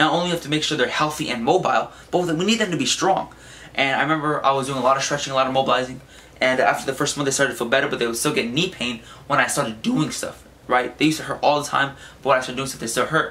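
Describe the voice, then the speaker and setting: Very fast speech comes from a man at a fairly high pitch, with ordinary pitch variation. Noticeable background noise is audible. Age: young. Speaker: fitness vlogger. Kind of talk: casual tutorial. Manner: casual.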